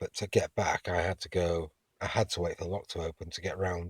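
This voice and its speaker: A man with an English accent and a very deep, low pitch speaks at a moderate pace in a monotone, somewhat breathy voice, with a dry, close sound, no echo and a very clean recording over a silent background. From England. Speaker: vlogger. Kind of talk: spoken travel diary. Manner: halting.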